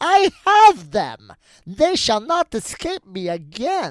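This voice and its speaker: A put-on character voice, high and raised to project, goes at a very slow pace on a very clean recording with a silent background. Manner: malicious and mocking.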